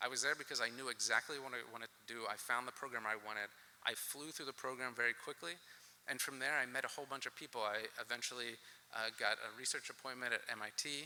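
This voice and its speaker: In an American accent, a man speaks very fast at medium pitch with ordinary pitch variation. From US South, Alabama (Boaz). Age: 40s. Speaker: keynote speaker, plant scientist. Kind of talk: keynote speech.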